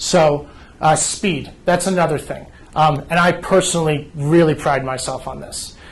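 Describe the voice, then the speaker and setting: Fairly slow, fairly evenly intoned speech from a man with a fairly high pitch and an East Coast accent, with big swings in loudness. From New Jersey. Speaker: home care agency representative. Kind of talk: informational presentation.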